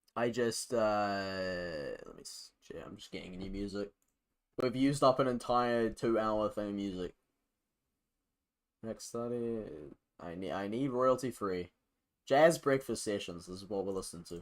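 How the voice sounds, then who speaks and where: Speaking in a New Zealand accent, a man with a fairly low pitch keeps a moderate pace and ordinary pitch variation, with long, frequent pauses and big swings in loudness. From New Zealand, North Island. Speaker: game developer streamer. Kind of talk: casual live-stream coding chat. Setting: live stream with music playing. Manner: halting, many fillers and restarts.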